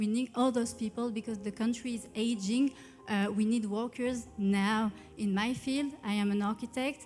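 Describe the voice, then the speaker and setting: Over music in the background, a woman with a French accent speaks at a fairly high pitch and moderate pace with fairly even intonation. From France. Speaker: beauty pageant contestant. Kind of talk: interview answers at press conference. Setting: stage with audience.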